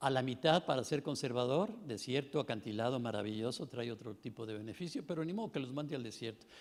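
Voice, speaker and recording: Speaking at a fairly quick pace, a man talks. His pitch varies in an ordinary way. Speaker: conference panelist. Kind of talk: conference talk. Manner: animated.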